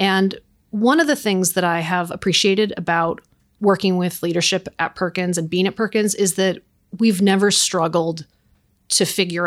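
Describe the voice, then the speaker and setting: In a very clean recording with a silent background, a plain, everyday voice talks at a moderate pace with fairly even intonation. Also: woman. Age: 40s. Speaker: accounting firm operations director. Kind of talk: interview.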